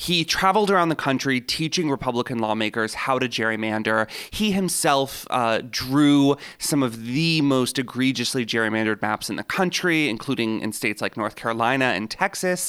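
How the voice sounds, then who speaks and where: Here a man talks at a moderate pace in a normal speaking voice, his pitch medium for a male. His intonation is lively. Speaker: legal reporter. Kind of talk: casual interview discussion.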